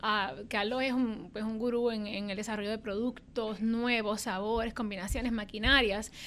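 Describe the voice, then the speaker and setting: Speaking at a moderate pace with hardly any pauses, a woman with a fairly high pitch uses a plain, everyday voice and fairly even intonation. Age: 30s. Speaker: business executive. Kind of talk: interview.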